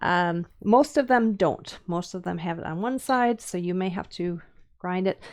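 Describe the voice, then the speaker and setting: A woman with a Minnesotan accent speaks with lively intonation at a moderate pace. The background is quiet. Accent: Minnesota. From US Upper Midwest (Minnesota, Wisconsin). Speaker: woodcarving teacher. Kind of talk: live-stream tutorial. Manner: casual, many fillers and hesitations.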